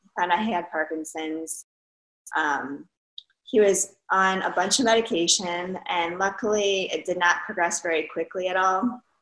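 A woman speaks in a plain, everyday voice. Her pitch is fairly low with ordinary variation, and her pace is moderate. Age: 30s. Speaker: fitness competitor and massage therapist. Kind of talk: interview.

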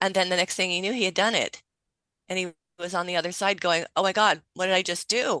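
A woman at a very fast pace in a monotone, flat intonation, with a dry, close sound with no echo and a quiet background. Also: medium pitch for a woman. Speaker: author and therapist. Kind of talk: radio interview.

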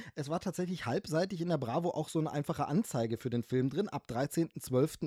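Dry and close with no echo, a man's fairly high voice carries a dark, mellow tone, moving at a fairly quick pace with ordinary pitch variation. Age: 40s. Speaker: film podcaster. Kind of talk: casual chat.

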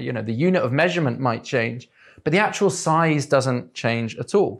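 Over a very clean recording with a silent background, a man speaks at a moderate pace with lively intonation. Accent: English. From England. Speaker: political activist and editor giving a talk. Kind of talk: lecture. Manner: halting, many fillers.

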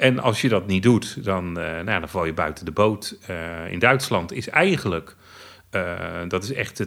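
Here a man has a very deep, low pitch. He talks at a fairly slow pace with ordinary pitch variation. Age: 50s. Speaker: blind theme park fan. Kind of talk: interview.

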